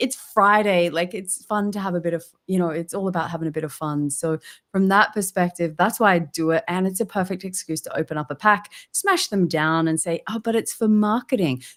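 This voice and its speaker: With an Australian accent, a woman talks at a fairly quick pace and a medium pitch in a very clean recording with a silent background. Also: ordinary pitch variation. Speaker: LinkedIn B2B growth strategist. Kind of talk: casual interview chat. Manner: animated.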